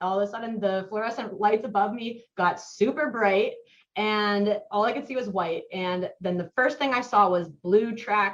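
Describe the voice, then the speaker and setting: A woman's normal speaking voice with an American accent, medium in pitch, with ordinary pitch variation, at a moderate pace. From US Midwest, Mason, Ohio. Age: 20s. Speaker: podcast guest, roller coaster enthusiast. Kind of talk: casual interview, storytelling.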